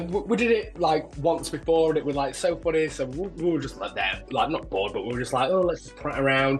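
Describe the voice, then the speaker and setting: With music in the background, a man speaks at a fairly quick pace and ordinary pitch variation. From Doncaster, England. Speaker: drag queen. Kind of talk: interview answer. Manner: chatty, camp.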